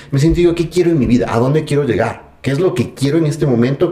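A man rattles along at a very fast pace, his pitch varying in an ordinary way, with noticeable background noise behind him. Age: 30s. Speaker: personal development enthusiast. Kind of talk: casual interview conversation. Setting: at the guest's home.

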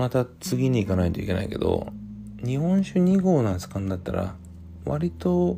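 A man with a fairly low pitch speaks at a moderate pace in a relaxed, dark, mellow tone. His intonation is lively and his voice somewhat breathy. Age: 40s. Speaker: podcast host. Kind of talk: casual solo talk while drinking. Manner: relaxed, hesitant with fillers.

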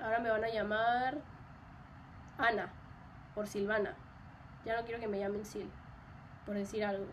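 Audible room echo surrounds a woman with a fairly high pitch who speaks at a moderate pace in a monotone, flat intonation, taking long, frequent pauses. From Mexico. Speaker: podcast host. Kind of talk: solo personal monologue. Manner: casual, many fillers.

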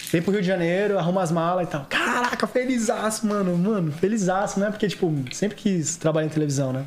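A man with a high pitch talks at a fairly quick pace with ordinary pitch variation. There is noticeable background noise. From Santos, São Paulo state, Brazil. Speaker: actor, model and TV stage assistant. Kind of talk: casual chat. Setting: studio.

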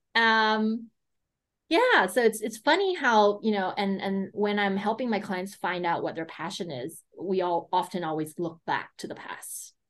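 A woman speaks in an American accent at a medium pitch. It is a normal speaking voice, delivered at a fairly slow pace. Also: ordinary pitch variation. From United States. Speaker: business consultant and coach. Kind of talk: interview.

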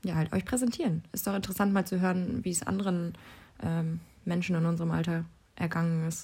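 Speaking at a fairly quick pace, a woman has a fairly low pitch, a dark, mellow, somewhat breathy tone, and fairly even intonation. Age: 20s. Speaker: university student, podcast co-host. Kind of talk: casual chat.

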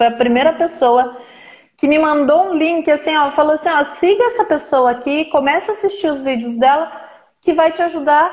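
This woman's voice sits at a high pitch. Her pitch swings very widely. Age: 40s. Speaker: therapist. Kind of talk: casual chat. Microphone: unstable connection, video freezing.

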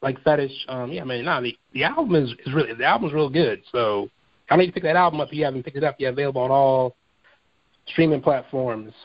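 A man with a fairly high pitch and ordinary pitch variation talks at a very fast pace. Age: 30s. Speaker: podcast host. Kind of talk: casual interview.

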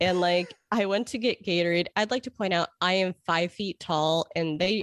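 The sound is dry and close with no echo, over a quiet background. A woman with a normal speaking voice and an American accent talks fairly slowly at medium pitch, with ordinary pitch variation. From Chicago. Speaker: author and editor. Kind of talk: casual interview. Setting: remote call.

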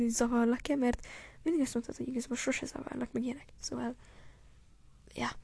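This woman speaks in an animated tone. Her delivery stays animated throughout. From Hungary (Gyöngyös, earlier Nyíregyháza). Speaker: podcaster. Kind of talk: casual monologue addressed to a friend. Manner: halting.

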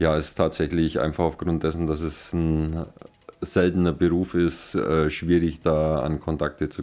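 A man's voice is pitched very deep and low. His pace is moderate. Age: 40s. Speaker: glassblower. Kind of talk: interview. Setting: at his workshop.

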